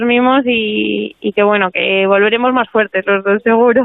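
A woman with a fairly high pitch. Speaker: athlete and doctor. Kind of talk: interview. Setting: phone call.

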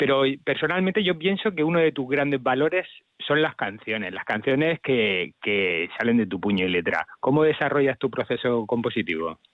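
Delivery comes at a moderate pace. Its pitch swings very widely. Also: man, medium pitch for a man. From Spain, Castilla-La Mancha. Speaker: music journalist. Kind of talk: radio interview.

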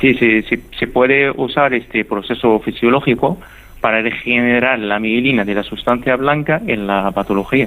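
A man's medium-pitched voice moves with ordinary pitch variation. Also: moderate pace. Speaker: neuroscience researcher. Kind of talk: radio interview.

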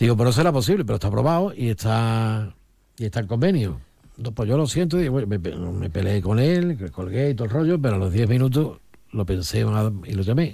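A man speaks at a fairly quick pace in a dark, mellow tone. His somewhat breathy voice moves through very wide pitch swings. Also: medium pitch for a man. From Olivenza, Extremadura, Spain. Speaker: political commentator, former regional politician. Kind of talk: radio panel discussion.

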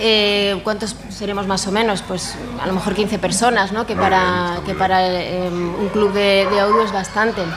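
Amid crowd noise in the background and audible room echo, a woman speaks at a medium pitch with monotone, flat intonation and hardly any pauses. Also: moderate pace. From Madrid, Spain. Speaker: dog obedience competitor. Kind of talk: interview.

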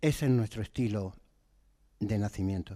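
This man has a dark, mellow tone and a fairly low pitch. He keeps a moderate pace with ordinary pitch variation. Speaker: nativity scene artisan. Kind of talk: radio interview.

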